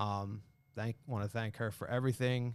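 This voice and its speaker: In a very clean recording with a silent background, a man with a New York accent speaks at medium pitch with fairly even intonation. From Long Island, New York. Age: 30s. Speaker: carpet salesman. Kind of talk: casual chat.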